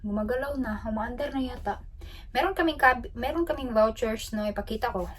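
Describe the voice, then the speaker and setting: A woman speaks loud and at a fairly quick pace with ordinary pitch variation over noticeable background noise. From Philippines. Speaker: travel vlogger. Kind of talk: casual vlog talk. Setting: ship cabin.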